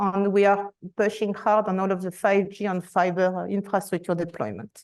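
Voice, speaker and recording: A woman talks with a French accent at medium pitch. She keeps a moderate pace and fairly even intonation. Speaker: enterprise architecture director. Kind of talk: conference presentation.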